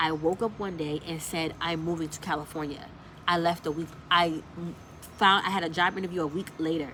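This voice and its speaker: A woman's voice has a bright, sharp tone and fairly low pitch. She speaks at a fairly quick pace. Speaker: lifestyle vlogger. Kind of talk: casual storytelling vlog. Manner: fast.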